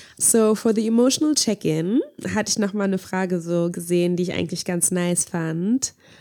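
In a very clean recording with a silent background, a woman speaks at a moderate pace, her medium-pitched voice dark and mellow with ordinary pitch variation. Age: 20s. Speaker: podcast co-host. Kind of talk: casual chat. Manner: animated.

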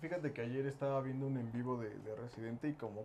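A man talks at a medium pitch. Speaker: podcast co-host and band musician. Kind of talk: casual chat.

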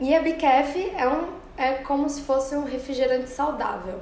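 Noticeable background noise and audible room echo accompany a woman who speaks at a fairly slow pace in a high pitch. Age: 20s. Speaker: university student and entrepreneur. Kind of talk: interview.

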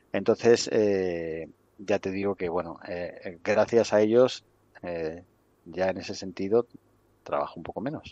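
A man with a very deep, low pitch and a dark, mellow tone speaks at a fairly slow pace. The sound is dry and close with no echo, against a quiet background. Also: ordinary pitch variation. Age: 50s. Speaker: wrestling coaching school director. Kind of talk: interview. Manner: halting.

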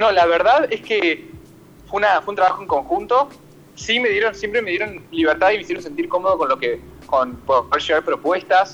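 A man with a high voice sends his pitch through very wide swings. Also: moderate pace. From Buenos Aires, Argentina. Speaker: stage actor. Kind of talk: interview. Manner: halting.

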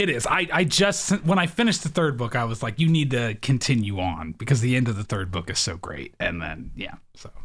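The voice shows vocal fry and very wide pitch swings, moving at a fairly quick pace with hardly any pauses. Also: man, medium pitch for a man. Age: 30s. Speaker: podcast host. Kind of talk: casual chat.

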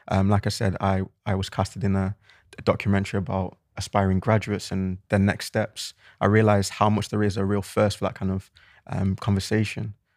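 Fairly quick and fairly low-pitched, a man with a Mancunian accent talks in a monotone, flat intonation, his sound dry and close with no echo on a very clean recording with a silent background. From Manchester, England. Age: 20s. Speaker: podcast co-host. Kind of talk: casual chat.

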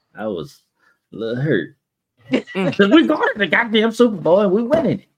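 Backed by music, a man talks at a moderate speed. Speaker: podcast co-host. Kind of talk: casual chat.

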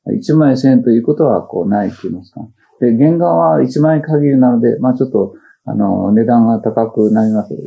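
Talking fairly quickly with lively intonation, a man with a dark, mellow tone lets his loudness swing widely. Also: medium pitch for a man. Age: 70s. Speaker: potter and spiritual teacher. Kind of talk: public talk to an audience. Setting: talk event with audience. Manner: halting with fillers.

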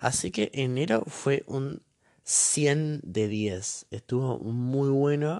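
In a dry, close sound with no echo, a man speaks with a dark, mellow tone and ordinary pitch variation. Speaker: podcaster. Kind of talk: casual monologue. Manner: halting.

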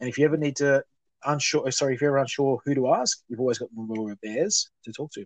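Speaking very fast with an Australian accent, a man with a fairly high pitch uses ordinary pitch variation and big swings in loudness, recorded with a dry, close sound and no echo. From Australia, New South Wales (Muswellbrook). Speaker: charity founder. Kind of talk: casual interview.

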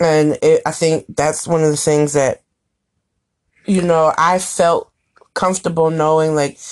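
A woman with a very deep, low pitch speaks with ordinary pitch variation. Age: 30s. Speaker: blogger and podcast co-host. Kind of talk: casual chat. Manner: animated.

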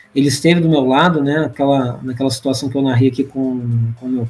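A man's fairly high voice with music in the background. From Brazil, Rio de Janeiro. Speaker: church leader and returned missionary. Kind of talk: podcast interview.

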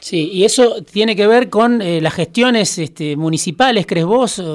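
A man's pitch rises and falls in an ordinary way as he talks at a moderate speed. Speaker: radio host. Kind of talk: interview.

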